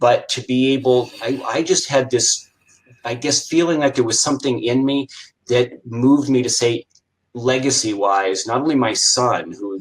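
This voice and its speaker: This man has a plain, everyday voice, medium in pitch for a man, with ordinary pitch variation, an American accent and a moderate pace. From Iowa, US Midwest. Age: 60s. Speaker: retired chiropractor and business coach. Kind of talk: interview.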